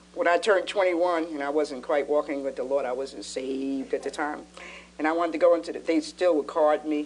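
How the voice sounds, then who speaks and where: A woman speaks at a fairly quick pace in a very deep, low pitch, her intonation fairly even, with noticeable background noise. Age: 60s. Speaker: pastor and talk show co-host. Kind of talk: casual chat.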